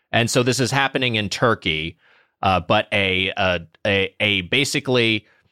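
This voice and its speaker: In an American accent, a man with a fairly low pitch and a bright, sharp tone speaks with ordinary pitch variation on a very clean recording with a silent background. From Southern California. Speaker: podcast co-host. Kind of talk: casual chat.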